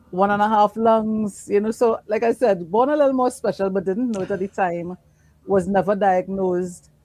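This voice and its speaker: A woman at medium pitch speaks at a moderate pace with a dark, mellow tone and ordinary pitch variation. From Trinidad and Tobago. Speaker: menopause dietitian. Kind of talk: interview.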